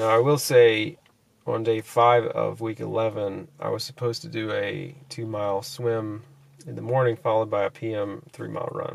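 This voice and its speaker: The pace of this man's speech is fairly slow. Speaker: fitness vlogger. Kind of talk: casual vlog chat. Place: car. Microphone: phone near.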